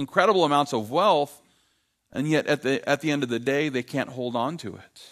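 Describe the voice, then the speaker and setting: A man speaks in a plain, everyday voice at a fairly high pitch with ordinary pitch variation. The sound is dry and close with no echo on a very clean recording with a silent background. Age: 50s. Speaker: pastor. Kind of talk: sermon.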